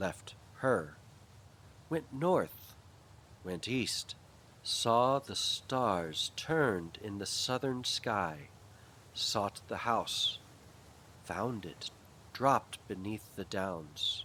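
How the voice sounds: Man at a fairly low pitch, with lively intonation, a very slow pace, a bright, sharp tone and long, frequent pauses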